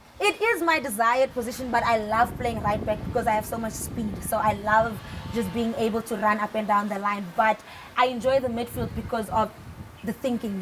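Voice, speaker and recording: A woman's fairly high voice at a fairly quick pace, with fairly even intonation and music in the background. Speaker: footballer. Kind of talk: interview. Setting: studio.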